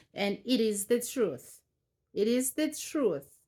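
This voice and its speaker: Someone speaks at a fairly slow pace in a South African accent. The recording is very clean, with a silent background. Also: woman. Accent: South African Xhosa-accented English. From South Africa, Eastern Cape. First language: Xhosa. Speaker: vlogger. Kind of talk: personal storytelling. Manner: halting.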